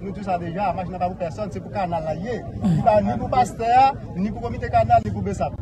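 High male voice with very wide pitch swings and big swings in loudness, fairly quick and with hardly any pauses, dry with no echo, over noticeable background noise. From Haiti. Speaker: civil protection agent; news commentator. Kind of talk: press conference statement. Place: studio.

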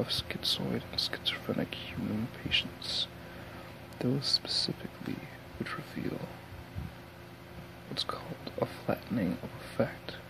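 A soft-spoken man whispers at a fairly slow pace, with long, frequent pauses. Noticeable background noise runs underneath. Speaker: audiobook reader. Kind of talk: reading a novel aloud. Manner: soft whispered ASMR book reading. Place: home room. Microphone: earbuds.

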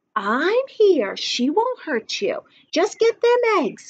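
Putting on a character voice, a soft-spoken woman speaks at a very slow pace with an extremely high pitch and very wide pitch swings, the sound dry and close with no echo. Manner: soft, reassuring.

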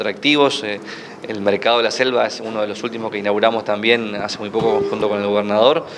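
Light noise sits in the background behind the man's voice. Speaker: tourism minister. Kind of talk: press interview answer. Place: hall. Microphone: handheld.

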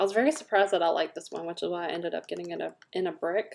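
A woman with a Southern US accent speaks with vocal fry. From US South. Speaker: scent product consultant and video host; scent product seller. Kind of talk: product review; casual product review chat. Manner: casual, filler-heavy. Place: home room. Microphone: webcam.

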